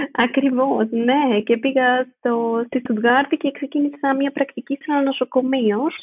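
Speaking at a fairly slow pace with hardly any pauses, a woman keeps her high pitch on a fairly even intonation. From Greece, Athens. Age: 20s. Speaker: midwife. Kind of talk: interview.

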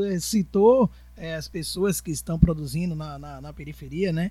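The man talks at a fairly slow pace. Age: 40s. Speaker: podcast host and educator. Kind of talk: casual interview chat.

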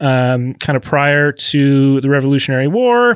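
There's a man with an Upper Midwest accent here, heard in a very clean recording with a silent background and a dry, close sound with no echo. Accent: Upper Midwest (Minnesota). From Minnesota. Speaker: podcast co-host. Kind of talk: casual chat. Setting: studio.

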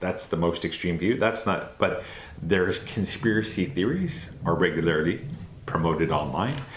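With a very deep, low pitch and lively intonation, a man speaks at a moderate pace in a room with audible echo. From Canada. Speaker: anti-racism organization representative. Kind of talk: interview.

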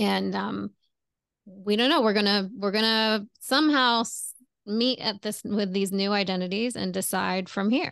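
A woman's normal speaking voice, medium in pitch with ordinary pitch variation, at a fairly slow pace over a quiet background. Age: 40s. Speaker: relationship coach. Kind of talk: casual chat.

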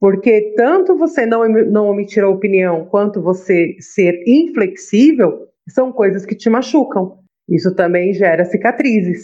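Speaking at a fairly slow pace, a woman uses a normal speaking voice at medium pitch with lively intonation. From Brazil, São Paulo. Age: 40s. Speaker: holistic therapist. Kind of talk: casual chat.

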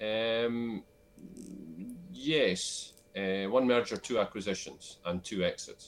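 Over a very clean recording with a silent background, a man with a Scottish Borders accent speaks very slowly at medium pitch, with ordinary pitch variation and long, frequent pauses. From Scotland, Scottish Borders (Selkirk). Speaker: business advisor and investor. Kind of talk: interview.

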